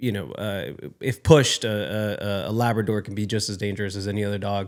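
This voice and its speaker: This man has a fairly low pitch and an American accent. The recording is very clean, with a silent background. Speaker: actor. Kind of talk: podcast interview.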